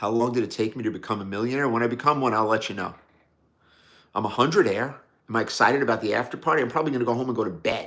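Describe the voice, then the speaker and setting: Here a man talks at a very fast pace in a New York accent. His pitch varies in an ordinary way. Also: medium pitch for a man. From New York City, Brooklyn. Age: 60s. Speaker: watch enthusiast livestreamer. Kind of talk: live stream chat reading viewer comments. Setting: live stream. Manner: casual, conversational.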